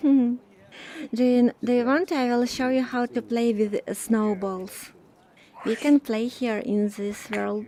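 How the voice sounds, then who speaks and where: Over noticeable background noise, a woman with a slight Russian accent and a fairly high pitch talks at a fairly slow pace with ordinary pitch variation. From Ukraine. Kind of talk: casual chat. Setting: virtual reality social space.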